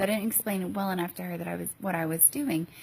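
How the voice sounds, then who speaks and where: A woman talks very fast. Her voice is quiet. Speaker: mom vlogger and teacher. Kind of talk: casual vlog. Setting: hotel room. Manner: halting with many ums.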